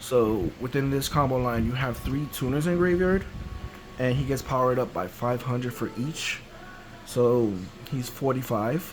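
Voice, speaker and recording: A man talks at a medium pitch. Noticeable background noise can be heard behind him. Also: ordinary pitch variation, moderate pace. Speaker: card game content creator. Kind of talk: tutorial.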